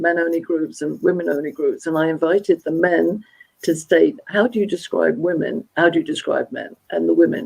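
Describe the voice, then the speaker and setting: Speaking at a moderate pace, a woman talks with a London accent. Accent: British English, London. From England, London. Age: 70s. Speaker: motivational speaker and gender dynamics expert. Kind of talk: live interview conversation.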